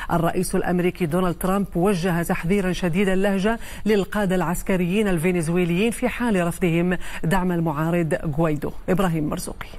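A woman talks at a moderate pace. She leaves hardly any pauses. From Morocco. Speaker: news anchor. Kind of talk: news reading. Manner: formal. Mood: formal, serious. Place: studio. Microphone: lapel.

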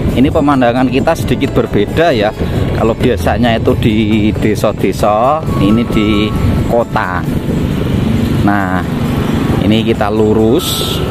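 Music plays in the background as the speech unfolds at a fairly slow pace. Long, frequent pauses break it up, and the sound is dry with no echo. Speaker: vlogger narrating a ride. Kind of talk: casual vlog commentary. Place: motorbike.

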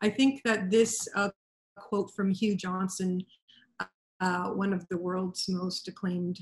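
Somewhat breathy and at a moderate pace, the speaker talks with a Canadian accent in a monotone, flat intonation. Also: woman. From Canada. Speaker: wine representative presenter. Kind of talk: online presentation. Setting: video call. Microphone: video call.

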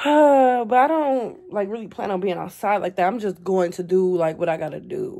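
A woman at a moderate pace with hardly any pauses and lively intonation, over a quiet background. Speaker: beauty vlogger. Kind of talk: casual vlog. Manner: casual, filler-heavy. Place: home room. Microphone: phone near.

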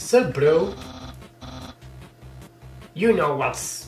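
Over clear background music, a man uses a put-on character voice pitched fairly high. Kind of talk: slangy. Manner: casual, laid-back.

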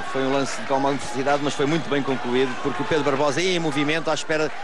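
A man with a European Portuguese accent talks very fast with fairly even intonation while noticeable background noise runs underneath. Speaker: football co-commentator. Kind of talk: live sports commentary, analytical. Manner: measured, halting, analytical.

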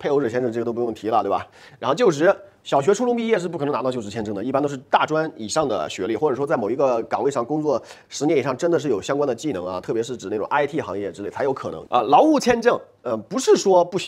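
Over a quiet background, a man talks at a very fast pace with a fairly high pitch that moves in very wide swings. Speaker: immigration consultancy owner and channel host; immigration consultant host. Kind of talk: explainer monologue. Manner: filler-heavy, conversational. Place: studio. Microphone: lapel.

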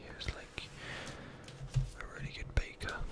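Someone is whispering. The pace is very slow. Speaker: ASMR creator. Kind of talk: ASMR whispered book reading, relaxed casual commentary. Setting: binaural microphone recording. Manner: whispered, soft-spoken.

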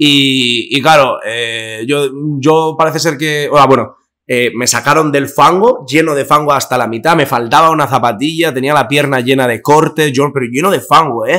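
Bright and sharp in tone, a man speaks at a fairly high pitch with ordinary variation. The pace is moderate and the background quiet. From Basque Country, Spain. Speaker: influencer; podcast guest. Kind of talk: casual chat. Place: studio. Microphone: studio mic.

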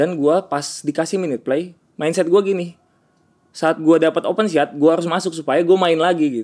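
Here a man with a high-pitched voice talks at a fairly quick pace. His intonation is fairly even, and the background is quiet. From West Java, Bandung; West Java. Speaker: basketball player; interviewee. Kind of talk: casual interview. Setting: hotel room. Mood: relaxed, reflective. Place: home room. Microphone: studio mic.

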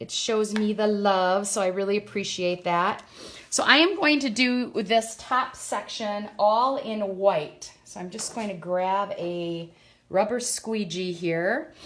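Over light background noise, a woman speaks at a very slow pace with ordinary pitch variation and big swings in loudness. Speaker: craft demonstrator. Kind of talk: live tutorial. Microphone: phone near.

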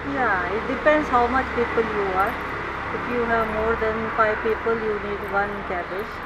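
At a moderate pace, a woman talks over loud background noise. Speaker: host mom teaching cooking. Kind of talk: casual cooking demonstration. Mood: warm, friendly. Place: garden.

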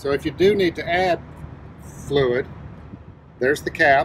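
The dry recording of a man, with no echo and light background noise, has a moderate pace and ordinary pitch variation. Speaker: truck driver demonstrating maintenance. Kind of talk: tutorial. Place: garage. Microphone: phone near.

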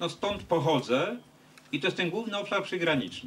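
A man talks at a moderate pace, with light noise audible behind him. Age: 50s. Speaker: politician. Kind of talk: meeting with fans. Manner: halting. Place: street. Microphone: handheld.

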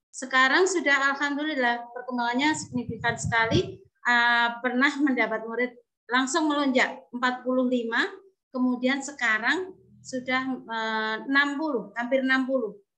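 Over a quiet background, a woman projects her high voice, bright and sharp in tone, at a fairly slow pace with ordinary pitch variation. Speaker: kindergarten teacher. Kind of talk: testimony. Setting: video call. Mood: grateful, warm. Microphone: video call.

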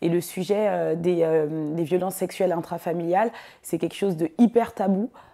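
Against a quiet background, a woman speaks with a dark, mellow tone, a fairly low pitch and fairly even intonation. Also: moderate pace. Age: 20s. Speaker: filmmaker. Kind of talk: interview monologue. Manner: hesitant, many fillers. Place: office. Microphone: lapel.

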